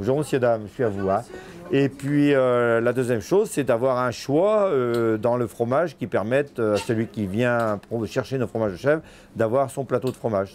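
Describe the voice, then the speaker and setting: Medium pitch, a moderate pace and ordinary pitch variation from a man with an ordinary speaking voice. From France, Vendée. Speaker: goat farmer and cheesemaker.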